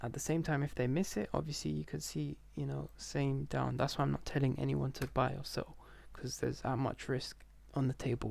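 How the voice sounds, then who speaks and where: A man whispers at a fairly quick pace. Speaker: stock market commentator. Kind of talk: screen-share market analysis. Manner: whispering; casual, filler-heavy.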